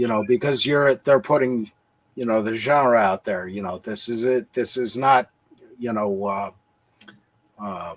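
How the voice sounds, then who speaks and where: The speech moves at a fairly slow pace with long, frequent pauses. The sound is dry and close, with no echo. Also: man, medium pitch for a man, ordinary pitch variation. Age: 60s. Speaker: livestream guest. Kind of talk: casual chat. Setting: livestream.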